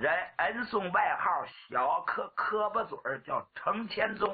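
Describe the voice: Putting on a character voice, a man speaks at a fairly slow pace and high pitch with a husky, rough edge and lively intonation.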